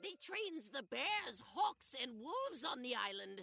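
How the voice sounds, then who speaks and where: The voice is a put-on character voice. Its pitch swings very widely. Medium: video game. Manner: broken grammar, extra s sounds.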